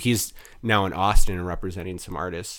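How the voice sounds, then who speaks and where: A man with an American accent, very deep and low in pitch, at a fairly quick pace with fairly even intonation, on a very clean recording with a silent background. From Wisconsin, Mukwonago near Milwaukee. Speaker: PR and marketing consultant. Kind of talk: casual interview chat.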